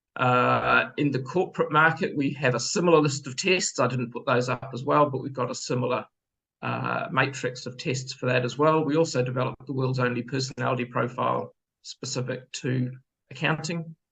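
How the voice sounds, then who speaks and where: A man with a New Zealand accent talks at a fairly quick pace in a medium-pitched, bright, sharp voice with vocal fry and fairly even intonation. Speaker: business owner, former accountant. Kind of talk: sales pitch.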